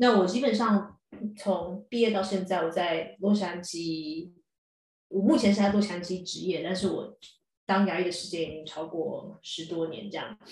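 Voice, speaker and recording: With a Taiwanese accent, a woman speaks in a somewhat breathy voice with big swings in loudness. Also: medium pitch for a woman, ordinary pitch variation, moderate pace. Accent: Taiwanese Mandarin. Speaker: dentist and columnist. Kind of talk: casual chat.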